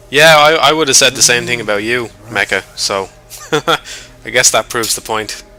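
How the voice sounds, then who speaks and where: With music in the background, a man in a Dublin accent speaks in a relaxed tone with ordinary pitch variation and long, frequent pauses. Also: medium pitch for a man, moderate pace. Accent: mild Dublin Irish. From Ireland, North Dublin. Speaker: gaming streamer. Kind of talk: casual livestream chat over gameplay. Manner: casual, relaxed.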